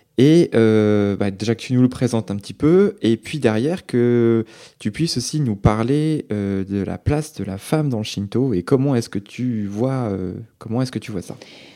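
On a very clean recording with a silent background, a man in a medium pitch speaks fairly slowly in a dark, mellow tone with ordinary pitch variation. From France. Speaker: travel podcast co-host. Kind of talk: casual podcast chat.

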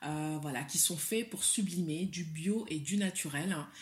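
A somewhat breathy voice with a West African accent, lively in intonation, at a fairly slow pace. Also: woman. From Mali. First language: Soninke (speaking French). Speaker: hair cosmetics entrepreneur, legal professional, writer. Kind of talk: casual interview chat.

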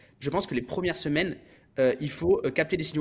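A man's voice with ordinary pitch variation. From France, Bordeaux. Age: 30s. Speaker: entrepreneur and business coach. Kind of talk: interview. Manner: halting.

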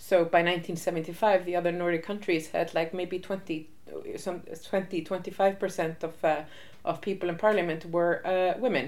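A woman's fairly low voice with an Icelandic accent, moderate in pace, monotone and flat. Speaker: interviewee on feminist history. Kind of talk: interview.

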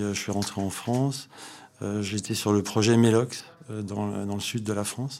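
Through noticeable background noise comes a man's fairly low voice with ordinary pitch variation. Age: 50s. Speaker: startup co-founder and energy engineer. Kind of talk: interview. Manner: hesitant, many repetitions.

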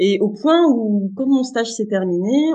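Her voice has a dark, mellow tone, and the woman's pitch rises and falls in an ordinary way. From northern France, Boulogne-sur-Mer. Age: 30s. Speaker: web writer. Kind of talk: interview. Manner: hesitant with many fillers.

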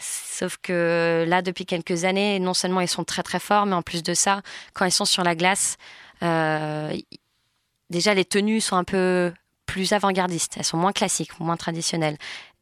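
A woman's fairly low, monotone voice at a fairly slow pace, in a very clean recording with a silent background and a dry, close sound with no echo. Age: 20s. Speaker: former figure skater, communications manager. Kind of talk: interview. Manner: hesitant, many fillers.

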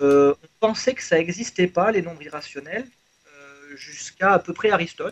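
Lively intonation at a moderate pace in an unremarkable speaking voice. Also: man. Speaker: mathematician. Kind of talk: explanatory discussion.

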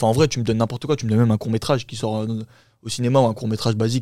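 A man's dark, mellow voice at medium pitch, with fairly even intonation, in a very clean recording with a silent background. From France, Paris suburbs (Champigny, Val-de-Marne). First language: Turkish (speaking French). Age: 20s. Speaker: actor, musician, model and dancer. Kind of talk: casual chat.

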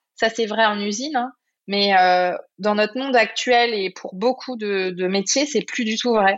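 A woman speaks at a fairly slow pace, her fairly high voice held in fairly even intonation. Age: 30s. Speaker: entrepreneur and life coach. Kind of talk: casual interview. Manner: hesitant, many fillers.

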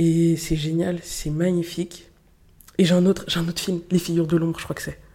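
At a fairly quick pace, a woman speaks in a fairly low, dark, mellow voice with monotone, flat intonation. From Paris eastern suburbs (Montreuil, 93). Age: 20s. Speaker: student, association public relations director. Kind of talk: casual interview.

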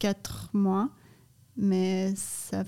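Dark, mellow female tone, very cleanly recorded against a silent background. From Canada and Brazil. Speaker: ice cream company co-founder. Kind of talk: casual interview. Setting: studio in a cellar.

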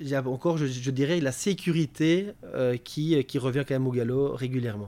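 The recording is very clean with a silent background, and a man's fairly high voice shows ordinary pitch variation. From Belgium, Namur. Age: 30s. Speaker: retail sustainability manager. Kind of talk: interview. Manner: halting, many fillers and repetitions.

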